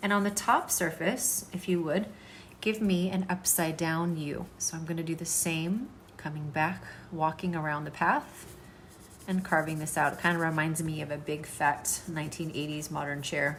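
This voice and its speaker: Audible room echo surrounds a somewhat breathy woman with a fairly low pitch. She moves at a moderate pace with ordinary pitch variation. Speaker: art teacher. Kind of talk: tutorial.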